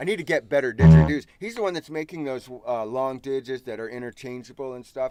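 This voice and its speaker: A man's medium-pitched voice with a dark, mellow tone, lively intonation, big swings in loudness and a very fast pace with hardly any pauses. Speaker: didgeridoo teacher. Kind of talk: casual chat. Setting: live stream.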